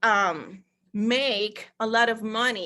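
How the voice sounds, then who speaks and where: A woman with a Spanish accent speaks in a bright, sharp tone, her intonation fairly even against a quiet background. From Costa Rica. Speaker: network marketer. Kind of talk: sales pitch. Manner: halting.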